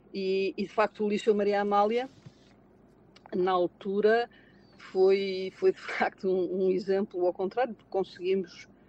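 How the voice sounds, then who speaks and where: Over noticeable background noise, a woman talks at a moderate pace in a dry, close sound with no echo. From Portugal, Lisbon. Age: 60s. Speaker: retail manager and auditor. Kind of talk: interview conversation. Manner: halting, many repetitions and fillers.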